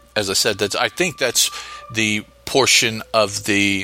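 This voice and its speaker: At a fairly slow pace, a man speaks in a fairly low pitch against noticeable background noise. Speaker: podcast host. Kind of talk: solo podcast episode review and story notes. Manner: halting, hesitant with fillers.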